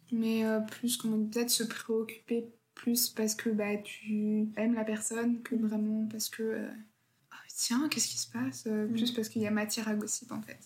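A woman with a fairly high pitch and an unremarkable speaking voice talks at a moderate pace with fairly even intonation. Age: 20s. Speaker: law student. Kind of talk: casual chat.

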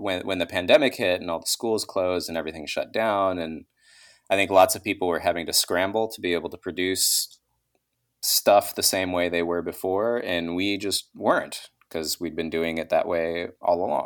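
At a moderate pace, a man with an American accent speaks in a very deep, low pitch with fairly even intonation. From Texas. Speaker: podcaster and former teacher. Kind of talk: casual interview chat. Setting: remote call from home.

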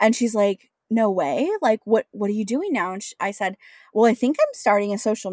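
A woman's normal speaking voice, a normal speaking voice with ordinary pitch variation, in a dry, close sound with no echo over a silent background on a very clean recording. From US Pacific Northwest, Washington State. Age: 30s. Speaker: entrepreneur. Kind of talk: interview.

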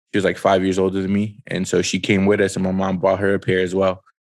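A man talks at a very fast pace in a very deep, low pitch. His intonation is monotone and flat, and the recording is very clean with a silent background. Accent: New York. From Brooklyn, New York. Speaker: sneaker show host. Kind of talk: casual chat.

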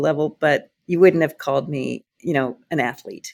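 Her voice very deep and low in pitch, a woman talks at a moderate pace with ordinary pitch variation. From rural Iowa. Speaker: company CEO. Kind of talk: interview conversation.

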